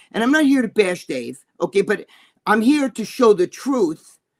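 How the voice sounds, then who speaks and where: With a New York accent, a man talks at a moderate pace in a high, animated voice that swings very widely in pitch, the sound dry and close with no echo. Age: 60s. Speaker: bodybuilder and magazine columnist. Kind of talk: casual chat. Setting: live stream show.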